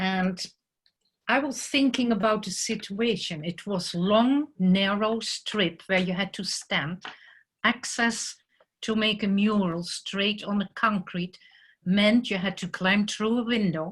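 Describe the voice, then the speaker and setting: Speaking very slowly in a Dutch accent, a somewhat breathy woman uses ordinary pitch variation. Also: quiet background. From Netherlands. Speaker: muralist artist. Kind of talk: presentation talk. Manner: hesitant with fillers.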